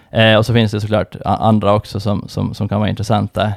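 A fairly quick man's voice, fairly low with vocal fry, dry and close with no echo in a very clean recording with a silent background. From Åland, Finland. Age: 30s. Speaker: fund manager. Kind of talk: interview. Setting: studio.

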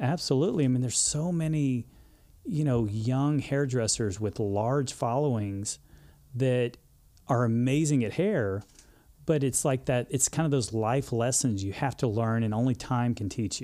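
A man's dark, mellow voice with a Texan accent, medium pitch, ordinary pitch variation and a moderate pace, on a very clean recording with a silent background. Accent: Texan Southern US. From Texas, Houston suburbs. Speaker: hairdresser, social media influencer. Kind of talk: casual interview chat.

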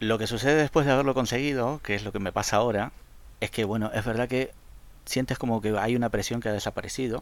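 Over a very clean recording with a silent background, a man talks at a very fast pace with fairly even intonation. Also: medium pitch for a man. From Argentina, Rosario. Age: 40s. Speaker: fan LEGO designer and photographer. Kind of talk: casual interview.

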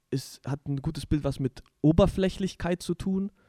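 A man speaks at a fairly high pitch with a dark, mellow tone. The sound is dry and close, with no echo. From southwestern Germany, village Deichbach. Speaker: podcast host. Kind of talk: casual religious discussion.

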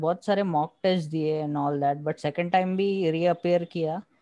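Dry and close with no echo, a man's fairly high voice carries a dark, mellow tone and ordinary pitch variation. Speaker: podcast co-host, engineering graduate. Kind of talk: casual chat.

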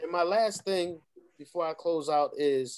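The man, who has an unremarkable speaking voice, pitches fairly high and moves at a fairly slow pace with ordinary pitch variation. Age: 40s. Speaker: network marketing distributor. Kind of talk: casual chat.

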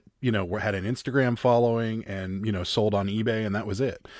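The recording is very clean with a silent background as a man talks at a fairly quick pace, in an unremarkable speaking voice at a fairly low pitch. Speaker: reseller. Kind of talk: casual chat.

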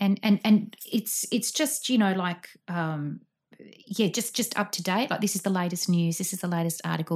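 A woman's somewhat breathy, fairly low voice in an Australian accent at a fairly quick pace. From Sydney, Australia. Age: 40s. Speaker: guest. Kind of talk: casual chat. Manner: animated; halting.

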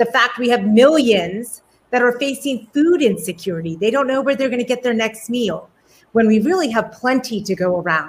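A woman with fairly high pitch and an ordinary speaking voice, lively intonation, and a fairly quick pace. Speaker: professor and homelessness advocate. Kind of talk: interview conversation. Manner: warm, effusive.

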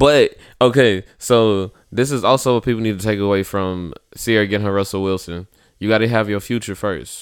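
On a very clean recording with a silent background, a man with an unremarkable speaking voice talks at a fairly quick pace, with fairly low pitch and ordinary pitch variation. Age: 30s. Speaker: podcast co-host. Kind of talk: casual chat.

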